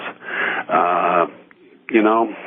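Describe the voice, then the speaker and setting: Here a man talks with an American accent. Noticeable background noise is present. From US Midwest, Evansville, Indiana. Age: 60s. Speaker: radio host. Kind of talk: radio talk monologue. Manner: frequent filler words and hesitations.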